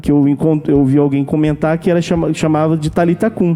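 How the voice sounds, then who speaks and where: The speech moves at a fairly quick pace, with music playing in the background. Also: man. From Brazil, Manaus (Amazonas). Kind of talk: testimony. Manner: halting, many repetitions and fillers.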